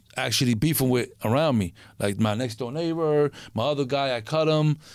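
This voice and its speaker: This man uses a normal speaking voice. His pace is fairly quick, and his pitch varies in an ordinary way. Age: 40s. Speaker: former gangster. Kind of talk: casual interview storytelling.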